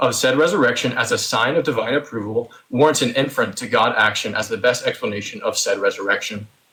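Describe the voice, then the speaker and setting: Very rapid delivery in a man's medium-pitched voice. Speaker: theist debater. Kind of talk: debate opening statement. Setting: voice chat. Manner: fast.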